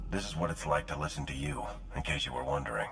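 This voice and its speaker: Over clear background noise, a man in a put-on character voice talks at a very fast pace, raspy and very deep. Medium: machinima.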